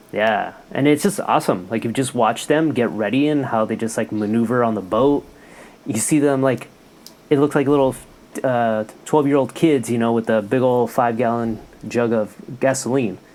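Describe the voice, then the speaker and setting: There is noticeable background noise as a man talks. He speaks at a moderate pace with ordinary pitch variation. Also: medium pitch for a man. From California, Mexican family from Jalisco. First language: Spanish. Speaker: health worker. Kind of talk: casual chat.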